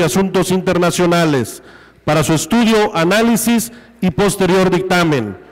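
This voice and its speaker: A man speaks at a high pitch and a fairly slow pace. Noticeable background noise is present. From Quintana Roo, Mexico (Felipe Carrillo Puerto). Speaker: legislature president. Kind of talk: chairing a parliamentary session. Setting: legislative chamber.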